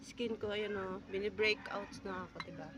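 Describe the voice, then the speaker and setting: Noticeable background noise sits behind a woman talking at a fairly slow pace with a fairly high pitch. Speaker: vlogger. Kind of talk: casual vlog. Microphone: no mic.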